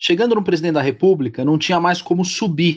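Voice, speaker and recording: Against a quiet background, a man talks in a high-pitched voice with ordinary pitch variation. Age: 40s. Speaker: political commentator. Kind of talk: casual interview. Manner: halting, repeats words.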